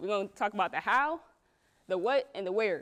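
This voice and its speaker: A woman talks at a fairly quick pace in a fairly high pitch, with very wide pitch swings and an animated tone. The recording is very clean, with a silent background. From US West Coast family. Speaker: entrepreneur, interviewer and speaker. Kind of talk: presentation to audience. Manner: fast.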